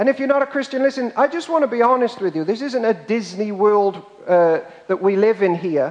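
Extremely high in pitch, a man with a British accent speaks with lively intonation. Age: 30s. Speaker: pastor. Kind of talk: sermon.

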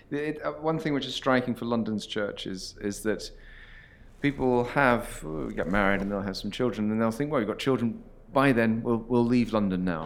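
A man talks at a medium pitch with ordinary pitch variation in a plain, everyday voice. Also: moderate pace. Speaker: interviewer, host. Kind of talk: interview conversation.

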